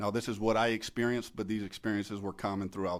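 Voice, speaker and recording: A very fast-talking man on a very clean recording, silent background. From Louisiana, Belle Chasse near New Orleans. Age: 40s. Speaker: war veteran. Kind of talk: testimony. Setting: committee hearing. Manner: formal.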